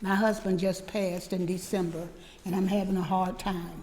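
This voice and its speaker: A woman speaks at a medium pitch, with audible room echo around her voice. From Pensacola, Florida (US South). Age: 80s+. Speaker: community historian and museum leader. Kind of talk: guest talk. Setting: church service.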